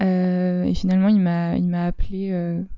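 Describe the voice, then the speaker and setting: The woman's voice has a medium pitch. She talks at a fairly slow pace. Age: 20s. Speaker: performing arts worker sharing coming-out story. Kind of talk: testimony interview.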